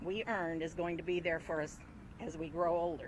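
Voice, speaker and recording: A woman speaks in an American accent at a moderate pace. Hers is an ordinary speaking voice, pitched fairly low. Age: 60s. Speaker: retiree. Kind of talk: prepared statement. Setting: outdoors.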